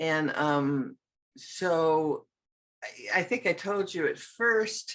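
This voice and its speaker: Her intonation lively, a woman speaks at a fairly low pitch. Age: 80s+. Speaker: artist and card deck creator. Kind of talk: interview answer.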